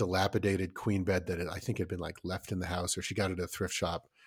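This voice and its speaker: This man speaks in a very deep, low voice on a very clean recording with a silent background. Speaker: podcast co-host, father. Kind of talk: casual chat. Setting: studio. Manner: loud.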